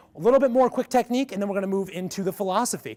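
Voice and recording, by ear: A man talks at a very fast pace in a resonant, slightly mellow tone, his pitch high with ordinary variation.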